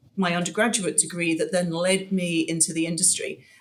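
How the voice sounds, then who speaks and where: A woman with a British accent speaks in a fairly low, somewhat breathy voice with fairly even intonation. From UK. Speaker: commercial real estate broker. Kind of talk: interview. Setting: podcast. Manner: hesitant, many fillers.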